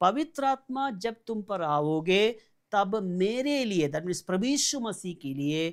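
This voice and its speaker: Very wide pitch swings in a Malayali accent, captured in a very clean recording against a silent background. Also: man, high pitch for a man. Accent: Malayali-accented Hindi. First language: Malayalam (speaking Hindi). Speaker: pastor. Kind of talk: sermon.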